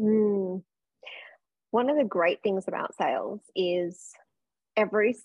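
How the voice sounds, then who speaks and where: Speaking at a very slow pace, a woman with an Australian accent uses a medium pitch. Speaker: sales coach. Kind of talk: casual interview.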